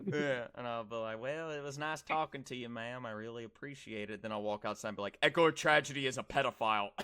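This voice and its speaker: A man with medium pitch and a bright, sharp tone speaks at a very fast pace. He barely pauses, and his pitch variation is ordinary. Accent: American. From US South. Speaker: streamer. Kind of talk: casual chat. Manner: animated.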